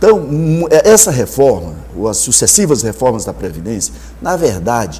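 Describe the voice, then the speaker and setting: At a moderate pace, a man talks as noticeable background noise persists. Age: 60s. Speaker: political candidate. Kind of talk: TV interview.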